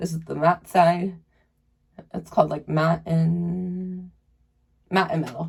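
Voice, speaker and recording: The voice is somewhat breathy, with monotone, flat intonation and big swings in loudness. The pace is very slow, with long, frequent pauses. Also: woman, fairly low pitch for a woman. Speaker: beauty vlogger. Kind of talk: makeup tutorial. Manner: casual, chatty; pitched higher than usual.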